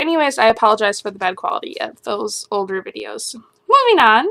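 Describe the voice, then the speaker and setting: A woman at a fairly quick pace. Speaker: video blogger on mental health. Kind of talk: casual advice monologue.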